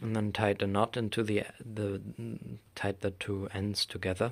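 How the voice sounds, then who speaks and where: In a German accent, a man speaks at a fairly slow pace with a fairly low pitch and flat, monotone intonation. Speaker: craft maker. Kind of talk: tutorial. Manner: halting.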